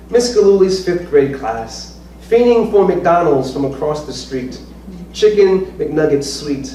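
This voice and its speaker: Amid noticeable background noise and audible room echo, a man with an American accent speaks fairly slowly, fairly high in pitch, with lively intonation. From US Northeast, Norwich, Connecticut. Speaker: poet and professor. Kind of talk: casual chat; poetry reading. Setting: stage with audience.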